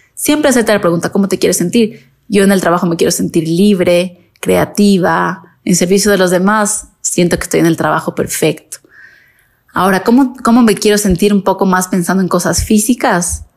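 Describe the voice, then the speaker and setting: Speaking at a moderate pace and medium pitch, a woman shows vocal fry, ordinary pitch variation and very even loudness. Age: 30s. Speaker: makeup artist and podcast host. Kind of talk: casual monologue.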